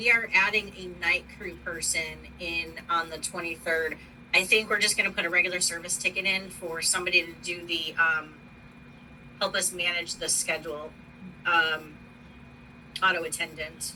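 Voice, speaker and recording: A woman speaks with an American accent at a fairly low pitch in monotone, flat intonation. Her loudness swings widely over noticeable background noise. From US East Coast. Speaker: university operations manager. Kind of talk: work meeting. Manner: fast.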